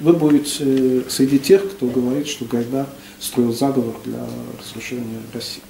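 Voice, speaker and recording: With ordinary pitch variation, a man talks at a fairly slow pace, his loudness swinging widely, amid light background noise and audible room echo. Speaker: discussant; lecturer. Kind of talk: discussion. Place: classroom. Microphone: camera far.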